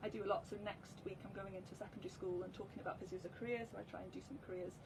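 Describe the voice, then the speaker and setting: Over noticeable background noise, a woman talks very fast in a North Welsh accent. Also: medium pitch for a woman, ordinary pitch variation. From Wales, Anglesey (Llangefni). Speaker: physiotherapist. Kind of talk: live interview.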